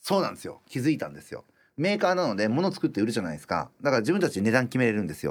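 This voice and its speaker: On a very clean recording with a silent background, a man with a medium-pitched voice and vocal fry races along at a very fast pace, with very wide pitch swings and big swings in loudness. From Japan, rural Iwate. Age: 50s. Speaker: restaurant owner. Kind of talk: interview.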